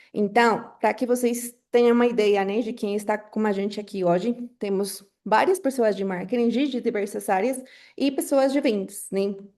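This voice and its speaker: A woman's fairly high, dark, mellow voice at a moderate pace, with ordinary pitch variation and a quiet background. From Colombia. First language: Spanish (speaking Portuguese). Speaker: webinar moderator, marketing professional. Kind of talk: webinar moderation. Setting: online webinar on Zoom. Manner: frequent filler hesitations.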